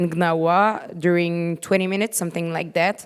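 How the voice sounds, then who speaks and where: Fairly low female voice with a non-native accent. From Morocco. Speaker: panelist. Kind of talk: panel discussion. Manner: halting.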